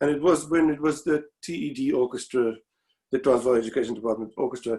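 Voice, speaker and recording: A man with a South African accent speaks at a fairly high pitch with ordinary pitch variation. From South Africa (Pretoria). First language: Afrikaans. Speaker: former student, violinist. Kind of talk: memorial tribute. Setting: video call. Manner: halting.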